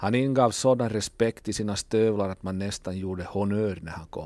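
On a very clean recording with a silent background, a man with an Ostrobothnian accent talks at a moderate pace. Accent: Finland-Swedish, Ostrobothnian dialect. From Ostrobothnia, Finland (Kokkola). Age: 40s. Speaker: musician. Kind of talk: radio monologue.

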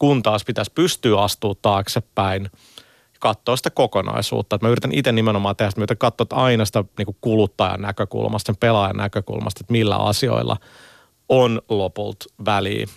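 A man with a fairly low pitch and some vocal fry. The recording is very clean with a silent background, dry and close with no echo. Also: ordinary pitch variation, fairly quick pace. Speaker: game company communications director. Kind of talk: radio interview. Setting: studio. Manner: halting, many repetitions and fillers.

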